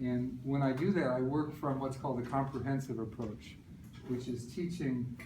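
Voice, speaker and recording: Fairly slow, fairly evenly intoned speech from a man, with audible room echo and noticeable background noise. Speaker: speech language pathologist. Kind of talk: presentation to audience. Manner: stutters.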